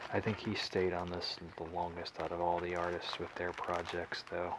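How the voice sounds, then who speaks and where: Soft-spoken, a man talks at a moderate pace in a very deep, low pitch. Background noise is noticeable. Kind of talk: ASMR comic book haul show and tell.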